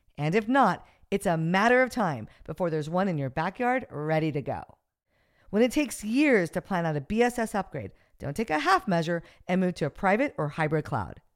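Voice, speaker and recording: A woman's animated voice at medium pitch, with very wide pitch swings and a fairly quick pace, on a very clean recording with a silent background. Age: 50s. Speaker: podcast host. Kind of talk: interview; scripted narration.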